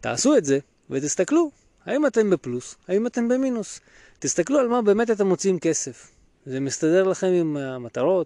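A man with a high, dark, mellow voice speaks at a moderate pace with very wide pitch swings. The sound is dry and close with no echo against a quiet background. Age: 30s. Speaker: financial planner and podcast host. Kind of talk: solo podcast talk.

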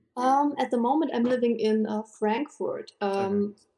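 Speaking very slowly with a German accent, a woman uses a dark, mellow tone and ordinary pitch variation. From Germany, southwest. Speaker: cosplayer, interview guest.

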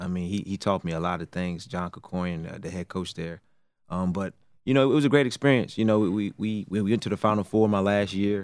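A man with an American accent speaks in an ordinary speaking voice at a moderate pace, his fairly low pitch carrying fairly even intonation on a very clean recording with a silent background. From Raleigh, North Carolina. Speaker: assistant basketball coach. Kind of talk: interview.

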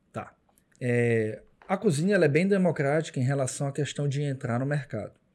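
Here is a man with an unremarkable speaking voice, pitched fairly high. He keeps a moderate pace and ordinary pitch variation. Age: 40s. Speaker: chef and restaurant owner. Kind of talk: casual interview chat.

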